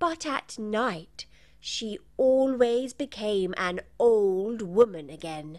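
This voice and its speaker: In a put-on character voice, a female-sounding speaker goes at a very slow pace with a fairly high pitch, on a very clean recording with a silent background. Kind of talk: bedtime story. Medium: read story.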